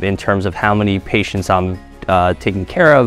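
This man's voice sits very deep and low, moving at a moderate pace. The sound is dry with no echo, and faint music plays in the background. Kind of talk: interview answer. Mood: relaxed, friendly. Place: office. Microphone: lapel.

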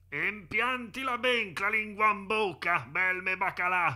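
With a Tuscan accent, a man speaks at a fairly slow pace in a bright, sharp tone. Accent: Carrara dialect. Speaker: amateur comedy dubber. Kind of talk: parody commercial voiceover.

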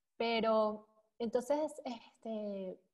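A woman's somewhat breathy voice. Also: quiet background. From Venezuela, Caracas. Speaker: bitcoin columnist; podcast guest. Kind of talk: casual interview chat; interview answer. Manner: halting, many fillers. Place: home room. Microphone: earbuds.

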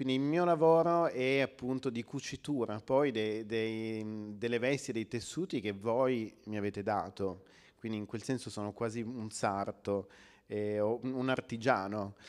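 A man talks at a fairly slow pace with ordinary pitch variation. The background is quiet. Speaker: author and book editor. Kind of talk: book presentation talk. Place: hall. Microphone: handheld.

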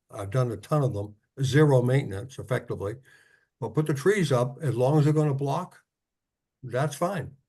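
Over a quiet background, a man with a dark, mellow, somewhat breathy tone talks at a moderate pace with ordinary pitch variation and long, frequent pauses. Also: medium pitch for a man. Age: 80s+. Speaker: zoning board member. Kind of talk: public meeting discussion. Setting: video call.

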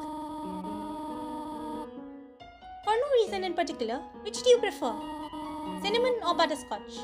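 In a squeaky, put-on character voice at an extremely high pitch, a man speaks at a fairly slow pace over clear background music.

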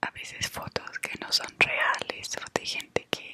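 Soft-spoken and at a fairly slow pace, a woman is heard in dry sound with no echo against loud background noise. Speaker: vlogger. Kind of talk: casual vlog chat. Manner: soft, close ASMR murmur. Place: home room. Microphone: webcam.

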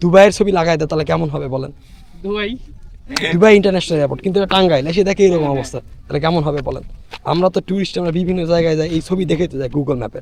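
A high-pitched man's voice over noticeable background noise. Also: ordinary pitch variation. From Bangladesh, Naogaon. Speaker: travel vlogger. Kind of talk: vlog narration and street chat. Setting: outdoors. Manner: animated.

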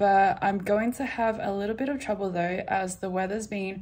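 The woman's voice is somewhat breathy. She uses ordinary pitch variation. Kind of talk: casual vlog chat. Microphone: phone near.

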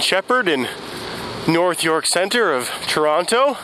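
Very slow speech in a dry sound with no echo, with noticeable background noise. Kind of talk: casual vlog chat. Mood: relaxed, calm. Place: street. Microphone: headset.

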